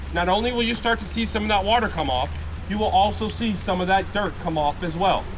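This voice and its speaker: Loud and fairly quick, a man speaks in a high voice with ordinary pitch variation, with audible room echo and noticeable background noise. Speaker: gold panning instructor at tourist camp. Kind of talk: live demonstration to tour group. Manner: loud, projecting.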